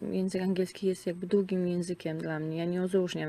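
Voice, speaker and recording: A woman talks with fairly even intonation. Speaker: returning emigrant. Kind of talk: interview testimony. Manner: hesitant, many fillers and repetitions.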